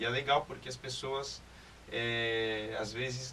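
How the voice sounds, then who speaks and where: Medium-pitched male speech with fairly even intonation, plus audible room echo and noticeable background noise. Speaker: guest's boyfriend. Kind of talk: casual chat.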